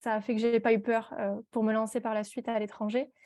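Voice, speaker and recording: The background is quiet. A woman speaks at a fairly high pitch. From southern France, Perpignan. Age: 20s. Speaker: entrepreneur, tea brand founder. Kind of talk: podcast interview. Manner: hesitant, many fillers.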